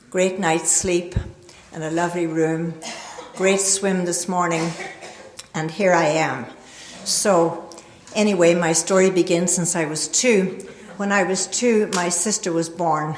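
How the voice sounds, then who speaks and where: A woman with an American accent speaks at a fairly slow pace in a fairly low pitch, with long, frequent pauses. The recording has audible room echo and noticeable background noise. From Northern Ireland. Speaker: recovery speaker. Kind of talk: recovery testimony talk. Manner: hesitant fillers.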